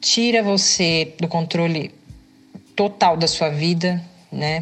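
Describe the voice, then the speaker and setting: Very slow and fairly even in intonation, a woman speaks at a fairly low pitch. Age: 30s. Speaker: podcast host, physical education student. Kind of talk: personal testimony monologue. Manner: hesitant, many filler sounds.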